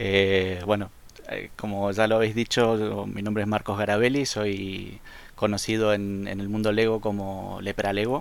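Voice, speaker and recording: A man talks fairly slowly in a fairly low, monotone voice with flat intonation. The recording is very clean, with a silent background. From Argentina, Rosario. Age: 40s. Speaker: fan LEGO designer and photographer. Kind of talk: casual interview.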